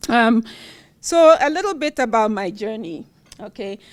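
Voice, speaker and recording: On a very clean recording with a silent background, a woman with a Ghanaian accent speaks at a fairly high pitch. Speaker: university professor, award recipient. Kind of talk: award acceptance speech.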